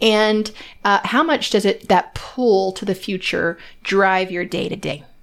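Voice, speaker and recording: A woman's medium-pitched voice at a fairly slow pace, an unremarkable speaking voice with ordinary pitch variation, on a very clean recording with a silent background. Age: 40s. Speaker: podcast host and strengths coach. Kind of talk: interview.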